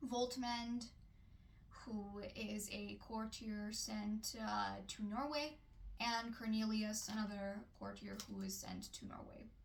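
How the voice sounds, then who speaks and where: A woman with a non-native accent talks at a very slow pace in a monotone, flat intonation. Her voice is somewhat breathy, and audible room echo can be heard. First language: not English. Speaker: book reviewer. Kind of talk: book review vlog. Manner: hesitant with fillers.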